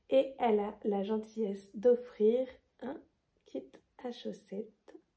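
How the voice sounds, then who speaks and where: This woman's voice is somewhat breathy, with a dark, mellow tone and a fairly high pitch. She speaks at a very slow pace with ordinary pitch variation. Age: 20s. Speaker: knitting vlogger. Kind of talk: casual vlog presentation. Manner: hesitant, many fillers.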